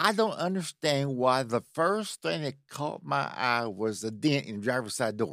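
Speaking at a moderate pace with hardly any pauses, a man uses a medium pitch that swings very widely. The recording is very clean, with a silent background. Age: 60s. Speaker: podcast host. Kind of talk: casual chat.

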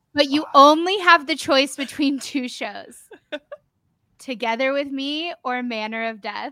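A woman's raised, projected voice, high-pitched, bright and sharp, animated in tone, with big swings in loudness and an American accent. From United States. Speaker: podcast co-host. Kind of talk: casual interview chat. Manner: animated, laughs often.

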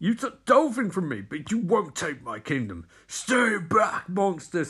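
A man puts on a character voice with a high pitch. His pitch swings very widely at a moderate pace. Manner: defiant, fierce.

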